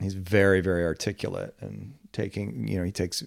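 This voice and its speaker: A man's very deep, low voice at a fairly slow pace, with ordinary pitch variation, on a very clean recording with a silent background. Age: 50s. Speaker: podcast host. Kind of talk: casual chat. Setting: makeshift studio room in office space.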